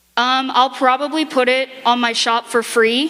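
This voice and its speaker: A woman with a fairly high pitch talks as noticeable background noise plays behind her. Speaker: convention panel presenter and furry artist. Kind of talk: convention panel talk with audience Q&A. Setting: convention panel room with audience. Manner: loud; animated.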